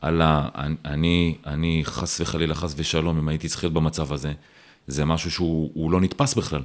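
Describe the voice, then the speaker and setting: Monotone, flat intonation marks the man's very deep, low voice as he talks at a moderate speed. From Israel, Ra'anana. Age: 40s. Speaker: telecom executive. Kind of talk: casual interview.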